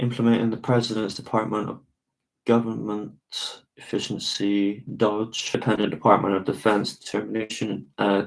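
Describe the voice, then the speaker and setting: A man with a fairly low pitch, monotone and flat in intonation, at a moderate pace. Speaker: live streamer. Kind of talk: reading aloud and commenting on screen. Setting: live stream with screen share. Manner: halting.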